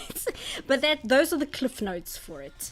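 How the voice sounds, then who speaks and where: The voice belongs to a woman. She speaks with lively intonation. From South Africa. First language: Afrikaans. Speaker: artist streamer. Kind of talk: casual chat. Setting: live stream. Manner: halting, many fillers and restarts.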